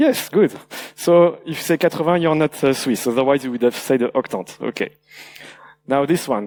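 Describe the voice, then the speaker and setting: A man talks at a moderate pace with a slight French accent. His pitch is fairly high, with ordinary pitch variation. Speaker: security researcher, conference speaker. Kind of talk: conference talk. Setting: stage with audience. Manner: halting, many fillers.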